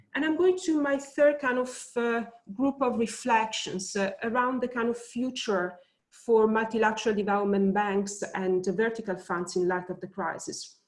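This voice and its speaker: A woman's fairly high voice with an Italian accent, moderate pace and lively intonation. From Italy. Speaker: think tank researcher. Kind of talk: webinar panel talk. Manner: hesitant, many fillers.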